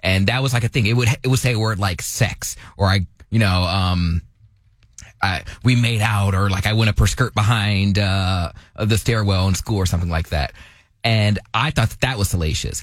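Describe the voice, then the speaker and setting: A somewhat breathy man's voice at a moderate pace with ordinary pitch variation, on a very clean recording with a silent background. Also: fairly low pitch for a man. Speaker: radio show co-host. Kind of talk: casual comedic talk radio.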